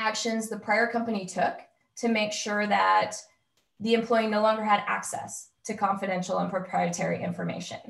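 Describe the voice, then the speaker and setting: A woman talks at a moderate pace with a medium pitch and vocal fry. Her intonation is fairly even, and there is audible room echo. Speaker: employment lawyer. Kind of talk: webinar presentation.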